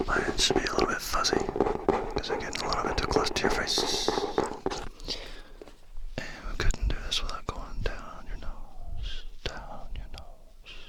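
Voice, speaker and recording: A man whispers fairly slowly, leaving long, frequent pauses, with noticeable background noise around him. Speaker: ASMR creator. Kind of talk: ASMR whispered triggers to camera. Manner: whispered, soft-spoken, repetitive.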